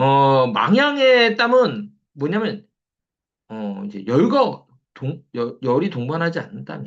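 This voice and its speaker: Moving at a very slow pace, a man with a fairly high pitch makes very wide pitch swings and big swings in loudness. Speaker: traditional Korean medicine lecturer. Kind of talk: online lecture. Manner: repetitive, filler-heavy.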